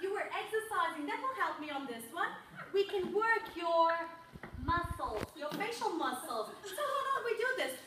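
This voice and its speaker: A woman speaks at an extremely high pitch with very wide swings, raising and projecting her voice at a moderate pace. Room echo is audible, and background noise is noticeable. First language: not English. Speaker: public speaker. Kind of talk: presentation to audience. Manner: animated.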